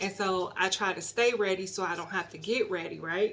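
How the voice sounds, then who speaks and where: An unremarkable speaking voice comes from a woman with an American accent, at medium pitch and moderate pace, with fairly even intonation. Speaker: YouTuber. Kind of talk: casual vlog.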